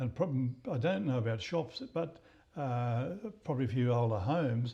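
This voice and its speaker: A man with an Australian accent speaks at a medium pitch with a dark, mellow tone, somewhat breathy, his loudness very even and his pitch varying in an ordinary way. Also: moderate pace. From Queensland, Australia (Maryborough). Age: 80s+. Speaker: local historian. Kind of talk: interview. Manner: halting, many repetitions.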